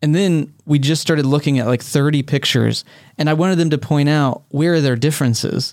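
A man with an ordinary speaking voice talks at a fairly quick pace and a fairly high pitch, with fairly even intonation and very even loudness. The recording is very clean, with a silent background. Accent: American. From Texas. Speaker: podcast co-host. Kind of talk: casual chat.

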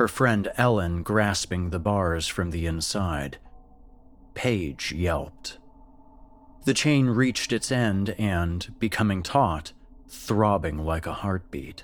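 At a very slow pace, a man speaks in a very deep, low pitch. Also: lively intonation. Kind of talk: ghost story narration. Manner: tense, vividly dramatic, building dread.

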